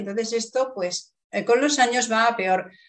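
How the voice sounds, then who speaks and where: Speaking at a fairly slow pace, a woman uses a normal speaking voice, pitched fairly high, with ordinary pitch variation. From Spain. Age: 50s. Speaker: writer. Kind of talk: interview.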